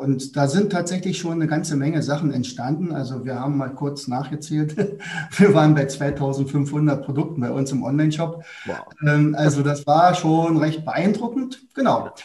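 A man's voice, with ordinary pitch variation, comes through noticeable background noise and audible room echo. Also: fairly high pitch for a man, moderate pace. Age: 60s. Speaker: teacher and academy founder. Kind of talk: interview.

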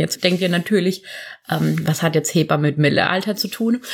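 A woman in an unremarkable speaking voice talks at a medium pitch with lively intonation. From southern Germany, near Karlsruhe. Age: 30s. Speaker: midwife. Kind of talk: casual interview chat. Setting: at the guest's home.

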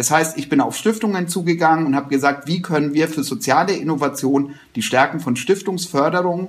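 Speaking at a moderate pace, this man has a fairly high pitch and an ordinary speaking voice. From rural Germany, small village. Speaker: social entrepreneurship network chairman. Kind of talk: interview conversation.

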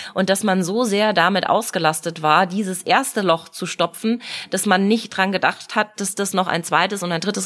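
Hardly any pauses break this plain, everyday voice, delivered at a moderate pace. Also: woman. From Munich, Bavaria. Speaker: mayoral candidate, politician. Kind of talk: casual interview.

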